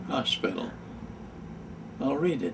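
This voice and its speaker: Noticeable noise can be heard in the background. Through it, a man talks with an American accent. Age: 80s+. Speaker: war veteran. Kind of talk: casual talk to camera. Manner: slow, halting.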